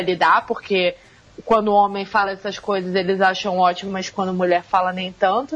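The woman speaks at a medium pitch. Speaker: MMA writer and podcast co-founder. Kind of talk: casual chat. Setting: remote call. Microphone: Skype connection.

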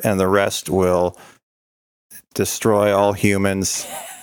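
A man does a put-on character voice at a very slow pace. His pitch sits fairly low and his intonation stays monotone and flat. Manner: menacing, mock-threatening.

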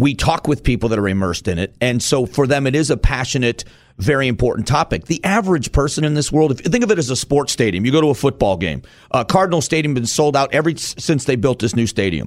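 A man speaks very fast at a medium pitch, with vocal fry. His intonation is lively. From Arizona. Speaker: radio talk show host. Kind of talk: political talk radio discussion.

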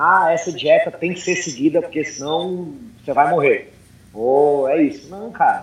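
Fairly slow speech from a man with a high pitch and ordinary pitch variation. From Brazil and United States. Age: 30s. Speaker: CrossFit coach. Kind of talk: casual chat.

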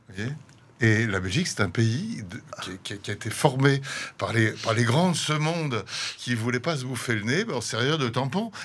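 Lively intonation marks this man's medium-pitched voice as he speaks at a moderate pace. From France, Paris. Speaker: painter and visual artist. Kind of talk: radio interview. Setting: studio. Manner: halting, many repetitions.

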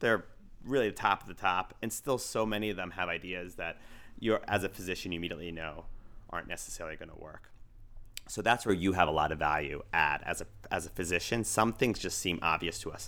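In a very clean recording with a silent background, a man with an American accent talks at a very fast pace in a very deep, low voice with a bright, sharp tone, ordinary pitch variation and big swings in loudness. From United States, Iraqi family. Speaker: emergency physician and entrepreneur. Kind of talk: interview.

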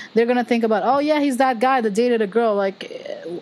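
A woman with an American accent talks at a fairly quick pace, her fairly high pitch rising and falling in lively intonation. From Philippines. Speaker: podcast host. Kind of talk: casual chat. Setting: video call. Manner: animated.

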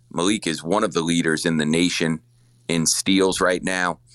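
The voice moves at a moderate pace with fairly even intonation and a dry, close sound with no echo. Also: man. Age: 40s. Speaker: college basketball coach. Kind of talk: interview.

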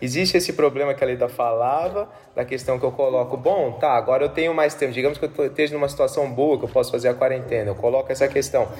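A man talks at a very fast pace with hardly any pauses. His pitch is fairly high, and there is noticeable background noise. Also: ordinary pitch variation, very even loudness. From Brazil, São Paulo. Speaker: philosophy professor. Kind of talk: casual conversation.

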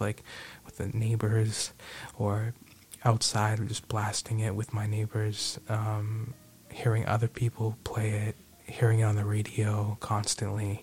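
A man talks in a flat monotone at a fairly low pitch. His voice is somewhat breathy. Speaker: podcast host. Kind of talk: radio DJ patter with sponsor reads and show sign-offs. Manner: warmly grateful and sincere, stressing words for emphasis.

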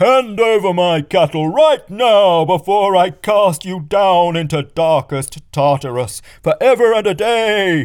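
A man in a put-on character voice, bellowing at a high pitch at a fairly slow pace with hardly any pauses. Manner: enraged.

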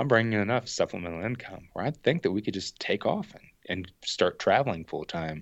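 A man talks fairly quickly, his pitch rising and falling over a very wide range. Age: 30s. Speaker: outdoor YouTuber and thru-hiker. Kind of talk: casual chat.

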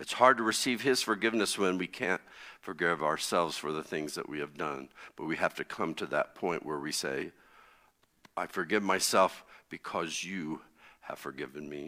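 A man with an American accent, very deep and low in pitch, with a bright, sharp tone, lively intonation and a moderate pace, on a very clean recording with a silent background. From US Midwest (Connersville, Indiana). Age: 60s. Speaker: pastor. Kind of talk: sermon.

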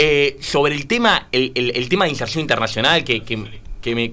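Here is a man with an ordinary speaking voice and a fairly high pitch. He talks at a moderate pace with lively intonation. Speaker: political panelist. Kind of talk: radio panel discussion. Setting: radio studio.

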